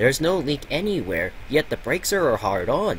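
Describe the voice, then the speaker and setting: Over clear background noise, a put-on character voice moves at a moderate pace. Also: man, fairly high pitch for a man. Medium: read story.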